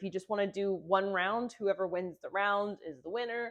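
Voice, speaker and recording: A woman with an unremarkable speaking voice talks at a moderate pace and medium pitch. Her pitch varies in an ordinary way, and the background is quiet. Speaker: music teacher running a game channel. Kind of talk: tutorial.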